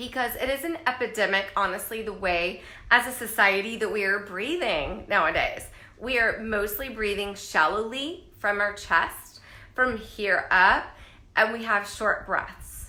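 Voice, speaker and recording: Over noticeable background noise and audible room echo, a woman speaks at a fairly slow pace and fairly high pitch with ordinary pitch variation. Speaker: life coach. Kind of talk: live stream talk. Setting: live video stream.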